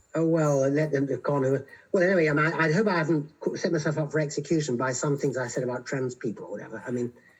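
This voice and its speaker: Over noticeable background noise, a man talks very fast at a fairly high pitch with ordinary pitch variation. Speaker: philosopher. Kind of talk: casual chat.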